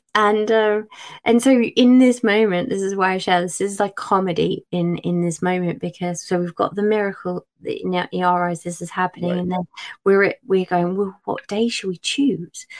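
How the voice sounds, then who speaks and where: A woman with an English accent at a moderate pace and fairly even intonation, in a dry, close sound with no echo. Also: medium pitch for a woman. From England. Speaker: children's book author. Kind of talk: casual chat.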